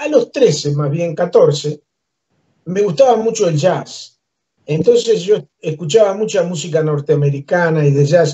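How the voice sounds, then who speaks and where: A man with a Uruguayan accent speaks at a fairly slow pace with lively intonation. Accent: Rioplatense Spanish (Uruguayan). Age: 70s. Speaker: musician and humorist. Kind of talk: interview, life story.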